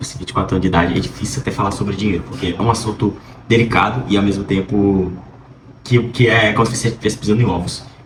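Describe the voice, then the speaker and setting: The speech runs very fast with ordinary pitch variation, amid audible room echo and noticeable background noise. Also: man. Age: 20s. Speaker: vlogger, pre-med student. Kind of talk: casual vlog monologue. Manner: hesitant, many fillers.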